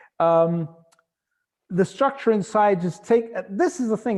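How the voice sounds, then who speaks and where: A high-pitched man speaks with lively intonation. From Canada, Calgary, moved to Central Europe as child. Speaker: gallery owner presenting art. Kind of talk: online presentation. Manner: fast; animated.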